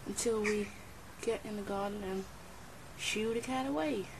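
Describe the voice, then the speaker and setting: Noticeable background noise beneath a fairly slow pace. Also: woman. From Netherlands. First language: Dutch. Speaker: pet owner filming. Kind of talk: casual talk to camera. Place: garden. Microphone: phone near.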